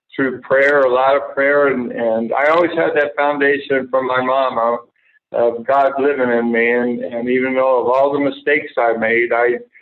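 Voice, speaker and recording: Speaking at a medium pitch, a man keeps a monotone, flat intonation and very even loudness. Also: moderate pace. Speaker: former major league pitcher and author. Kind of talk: interview. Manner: halting, many fillers.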